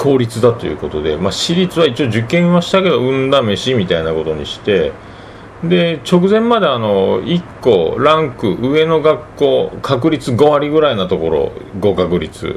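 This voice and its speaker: A man talks at a fairly slow pace with very wide pitch swings. Background noise is noticeable. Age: 40s. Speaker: podcast host. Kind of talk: casual monologue. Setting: home living room.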